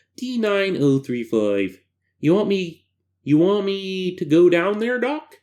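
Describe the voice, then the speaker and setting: Someone performs a put-on character voice at a middle pitch. The delivery is fairly slow. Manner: annoying.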